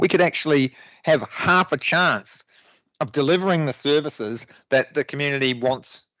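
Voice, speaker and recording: A fairly high-pitched man with a New Zealand accent, bright, sharp tone and ordinary pitch variation, at a moderate pace, in a dry, close sound with no echo and a quiet background. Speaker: local councillor. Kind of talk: council debate speech. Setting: council chamber meeting. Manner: halting, many fillers and restarts.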